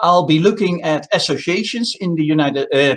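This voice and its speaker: A man with a Dutch accent talks at a fairly quick clip, his intonation lively. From Netherlands. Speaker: telecom consultant. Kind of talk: conference presentation.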